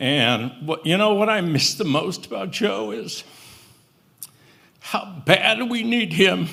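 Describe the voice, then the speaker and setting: A very slow American accent with very wide pitch swings and long, frequent pauses. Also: man, high pitch for a man. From California Central Valley (Merced). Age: 70s. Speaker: eulogy speaker, family friend. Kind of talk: eulogy at memorial service. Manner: halting, with fillers.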